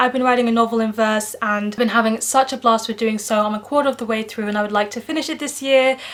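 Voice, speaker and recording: In a British accent, a woman talks at a very fast pace with a fairly high pitch and monotone, flat intonation. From Netherlands. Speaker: book vlogger. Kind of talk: casual vlog monologue.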